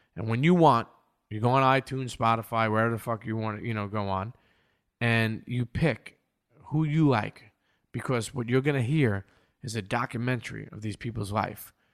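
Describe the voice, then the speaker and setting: Speaking at a moderate pace with an American accent, a man uses a medium pitch and ordinary pitch variation on a very clean recording with a silent background. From New York, Brooklyn (Coney Island). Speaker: podcast host and producer. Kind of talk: casual interview chat. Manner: animated, halting with repetitions.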